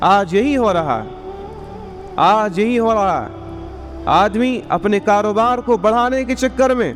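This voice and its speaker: A man speaks with music in the background. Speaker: Islamic scholar (mufti) giving a sermon. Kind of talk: Friday sermon (juma bayan).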